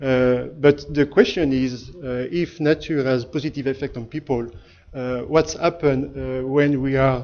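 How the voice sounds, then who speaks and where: With a strong French accent, a man speaks in a monotone, flat intonation. His pitch is fairly high and his pace moderate. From France. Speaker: architect and company founder. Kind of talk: seminar talk. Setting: lecture hall with audience. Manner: hesitant, many filler sounds.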